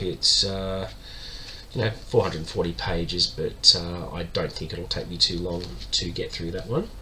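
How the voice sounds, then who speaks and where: Audible room echo surrounds a man speaking at a moderate pace, his loudness swinging widely. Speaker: book vlogger. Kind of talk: casual monologue. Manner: many filler words.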